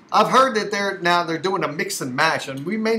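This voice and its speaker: In a raised, projected voice, a man talks at a high pitch with an animated tone. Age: 60s. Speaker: political commentator vlogger. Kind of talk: opinion rant.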